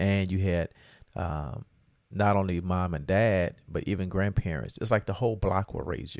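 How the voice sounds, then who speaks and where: On a very clean recording with a silent background, a man speaks at a moderate pace in a very deep, low pitch with ordinary pitch variation. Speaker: podcast co-host, father of co-host. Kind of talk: casual chat.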